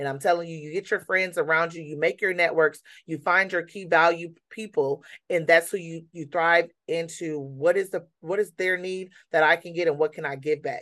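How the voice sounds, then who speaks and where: A woman with an American accent has a plain, everyday voice at a fairly low pitch and moderate pace. Her intonation is fairly even, but her loudness swings a lot. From Michigan (Niles), US Midwest. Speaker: nonprofit founder. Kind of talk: interview.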